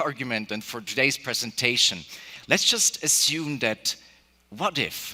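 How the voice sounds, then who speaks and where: Against noticeable background noise, a man talks at a fairly slow pace. His intonation is lively. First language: Spanish and German. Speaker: keynote speaker, AI entrepreneur. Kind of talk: keynote speech. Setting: stage with audience.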